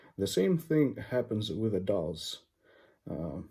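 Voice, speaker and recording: Recorded very cleanly against a silent background, a man talks at a very slow pace in a fairly low, dark and mellow voice that is somewhat breathy. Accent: non-native. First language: not English. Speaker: English teacher. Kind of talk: educational talk. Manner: halting, with fillers.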